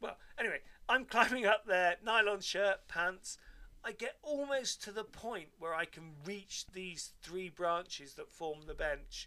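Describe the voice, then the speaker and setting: With a raised, projected voice and a bright, sharp tone, a high-pitched man speaks at a fairly slow pace in an animated tone, his intonation lively and his loudness swinging widely. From Devon, England. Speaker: podcast co-host. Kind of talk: casual chat.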